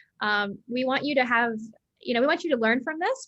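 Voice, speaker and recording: A woman with an American accent, lively intonation and a very fast pace. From United States. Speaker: education company CEO, former science teacher. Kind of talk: webinar hosting. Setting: online webinar.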